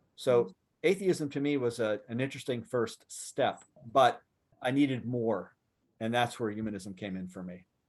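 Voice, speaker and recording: An American man with an unremarkable speaking voice talks at a moderate pace and medium pitch, with ordinary pitch variation. His loudness swings widely on a very clean recording with a silent background. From US, Western Pennsylvania. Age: 60s. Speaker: secular activist and writer. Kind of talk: Q&A talk to audience.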